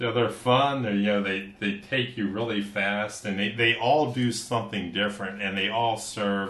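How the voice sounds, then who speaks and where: A man with an American accent talks at a moderate pace, fairly low in pitch. His intonation is fairly even, and there is noticeable background noise. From US Midwest, southern Ohio. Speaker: English teacher and musician. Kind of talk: casual chat. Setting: studio.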